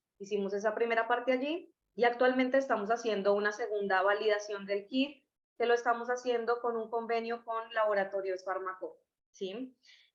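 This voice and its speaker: A woman with a Colombian accent speaks with fairly even intonation. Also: fairly high pitch for a woman, moderate pace. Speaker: scientist presenting a testing kit. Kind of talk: webinar presentation. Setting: online webinar.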